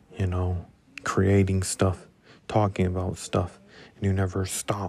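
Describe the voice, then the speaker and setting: A man speaks in a very deep, low register. His intonation is monotone and flat, with a dark, mellow tone. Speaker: solo podcast host. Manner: monotone, flat, little energy.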